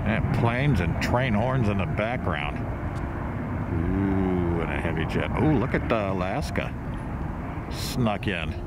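Amid loud background noise, a man speaks at a fairly slow pace with long, frequent pauses, and the sound is dry with no echo. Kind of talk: casual live commentary. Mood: relaxed, enthusiastic, self-mocking. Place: waterside. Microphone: phone near.

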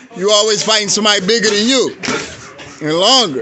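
Light background noise behind a man's voice. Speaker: boxing coach. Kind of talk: shouted coaching instructions. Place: gym. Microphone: phone near.

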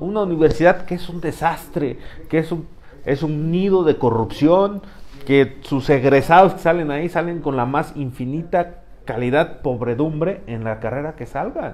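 A man speaks at a fairly slow pace in an unremarkable speaking voice. His pitch is fairly high, with ordinary pitch variation. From Mexico. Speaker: political commentator. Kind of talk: casual political debate. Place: studio.

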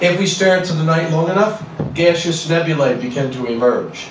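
In a room with audible echo and light background noise, a man speaks at a moderate pace with ordinary pitch variation. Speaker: presenter. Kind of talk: lecture. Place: hall.

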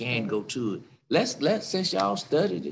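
Fairly low-pitched male speech at a moderate pace, ordinary pitch variation, light background noise. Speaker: pastor leading prayer and Bible study. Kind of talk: fervent prayer with congregational call-and-response, leading worship. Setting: church service streamed on Facebook and Zoom. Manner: fervent, rhythmic, repetitive, building in emotional intensity, exclaiming praise; exhortative, urging the congregation to join in. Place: church. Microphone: video call.

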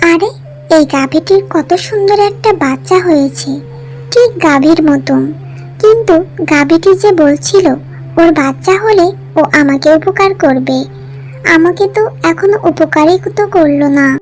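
A cartoonish character voice, female-sounding, over clear music in the background. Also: moderate pace. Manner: homely, animated.

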